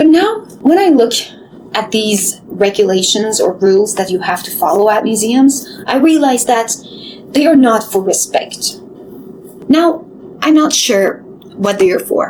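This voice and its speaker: Noticeable background noise sits behind a woman's voice. She speaks fairly slowly, with a fairly high pitch and lively intonation. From Middle East. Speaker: former curator, storyteller. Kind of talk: video essay, personal storytelling.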